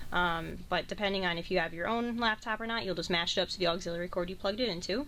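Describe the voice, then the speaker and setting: A woman speaks at a very fast pace, medium in pitch, with ordinary pitch variation. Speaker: college radio station manager. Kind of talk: tutorial. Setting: radio studio. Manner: loud.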